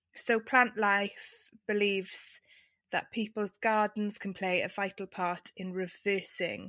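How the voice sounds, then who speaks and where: In an English accent, a woman speaks very slowly at a medium pitch, her tone bright and sharp and her intonation monotone and flat, on a very clean recording with a silent background. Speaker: podcast co-host. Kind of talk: casual chat.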